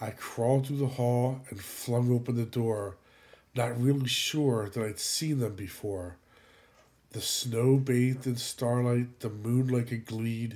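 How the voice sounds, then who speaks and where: A man speaks at a fairly slow pace in a dark, mellow, somewhat breathy tone. The recording is very clean, with a silent background. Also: medium pitch for a man. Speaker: podcast host. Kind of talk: poem performed, theatrical reading aloud of a comic Viking Christmas poem. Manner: animated, rhythmic sing-song delivery with comic relish; casual, informal intro.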